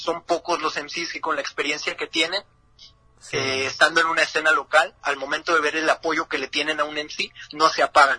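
Monotone, flat speech from a man at fairly high pitch, dry and close with no echo. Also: moderate pace. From northern Mexico, Ciudad Juárez. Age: 20s. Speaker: freestyle rapper. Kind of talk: interview.

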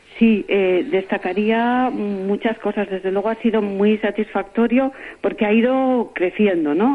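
A woman with a medium pitch talks at a moderate pace, her pitch varying in an ordinary way while background noise is clearly audible. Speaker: award-winning senior entrepreneur. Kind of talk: radio interview. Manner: halting, many repetitions.

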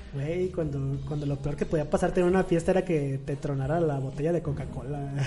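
A man speaks fairly quickly with hardly any pauses and fairly even intonation. His pitch is fairly high, and there is noticeable background noise. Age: 20s. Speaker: podcast guest. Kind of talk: casual chat.

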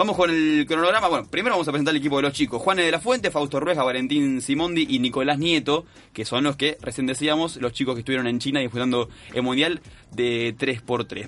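With a plain, everyday voice, a man speaks at a fairly quick pace, his fairly high pitch carrying lively intonation. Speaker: sports radio co-host. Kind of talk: sports news roundup.

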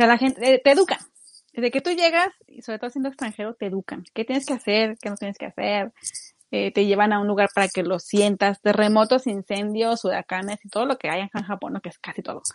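Fairly high in pitch, a woman talks at a fairly quick pace with ordinary pitch variation. It is an ordinary speaking voice, in a dry, close sound with no echo. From Mexico, Torreón. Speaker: youtuber. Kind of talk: casual chat.

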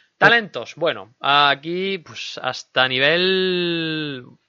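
A man speaks with a slight Andalusian accent. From Andalusia, Linares (Jaén), Spain. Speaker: gaming podcast host. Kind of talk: casual chat; news reading. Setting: studio.

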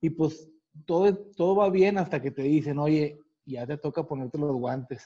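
With a dark, mellow tone and fairly high pitch, a man speaks at a moderate pace. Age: 40s. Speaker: retired boxer. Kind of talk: casual interview.

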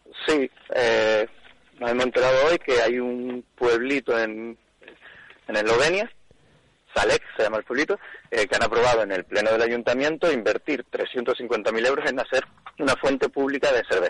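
A man talks with very even loudness and long, frequent pauses, and the sound is dry and close with no echo. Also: moderate pace. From Canary Islands, Tenerife (Fasnia and La Laguna). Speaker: craft beer expert. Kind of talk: radio segment explanation.

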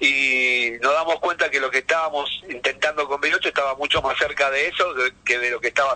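A fairly high-pitched man in a Rioplatense accent, at a fairly quick pace. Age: 50s. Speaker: heavy metal drummer. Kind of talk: casual interview. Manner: animated.

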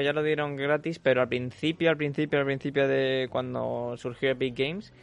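Here a man speaks with a Spanish accent at a moderate pace. His pitch is fairly high, and his intonation fairly even. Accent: Peninsular Spanish. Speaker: radio host. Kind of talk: casual chat.

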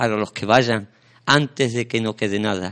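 The speaker is a man. He talks at a medium pitch. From Sanlúcar de Barrameda, Andalusia, Spain. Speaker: radio host. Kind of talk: casual chat; reading aloud. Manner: halting.

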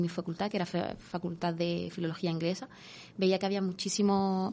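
A woman speaks at a moderate pace in a medium pitch. Her tone is dark and mellow, with monotone, flat intonation. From Spain, raised by Moroccan parents. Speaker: intercultural mediator. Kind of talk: radio interview. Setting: radio studio.

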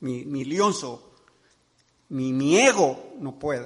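This is a man's voice. His pitch is fairly high. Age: 70s. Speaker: pastor. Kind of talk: sermon.

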